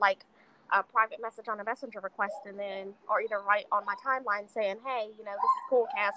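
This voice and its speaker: Bright and sharp in tone, a woman talks at a fairly quick pace with ordinary pitch variation. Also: dry, close sound with no echo. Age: 20s. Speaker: podcast assistant and promoter. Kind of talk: casual chat.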